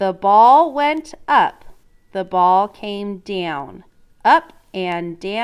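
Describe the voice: It is plain reading aloud with lively intonation.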